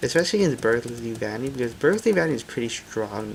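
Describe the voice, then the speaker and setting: The pace is very fast. Noticeable background noise sits behind the speech. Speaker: gaming youtuber. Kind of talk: gameplay commentary. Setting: home recording at night. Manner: loud; casual, many fillers.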